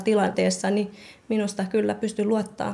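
A woman with a Myanmar accent, medium in pitch, at a moderate pace. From Thai-Myanmar border refugee camp (Karen). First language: Karen (speaking Finnish). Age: 20s. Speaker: nursing student. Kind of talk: interview. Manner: halting.

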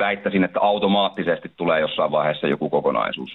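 A man talks at a fairly quick pace. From Finland, Lempäälä (Pirkanmaa). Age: 20s. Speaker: rapper. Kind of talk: radio interview.

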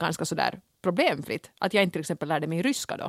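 A woman has an unremarkable speaking voice with a medium pitch. She talks at a fairly quick pace in a very clean recording with a silent background. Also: dry, close sound with no echo. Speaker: podcast co-host. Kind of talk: casual chat.

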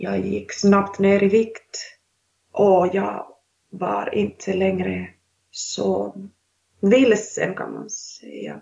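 A woman is speaking. She has a Finnish accent. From Finland. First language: Finnish (speaking Swedish). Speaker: author. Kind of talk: interview. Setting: video call. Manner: halting.

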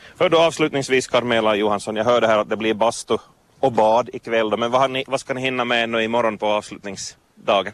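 Using an ordinary speaking voice, a man talks at medium pitch with fairly even intonation. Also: fairly quick pace. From Vaasa, Finland. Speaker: radio reporter. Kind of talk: interview. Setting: outdoors at a swimming beach jetty.

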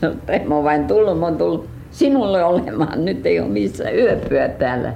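A woman at a fairly slow pace, amid noticeable background noise and audible room echo. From US, Detroit (Finnish-American). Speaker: folk artist. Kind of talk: life story interview. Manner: halting.

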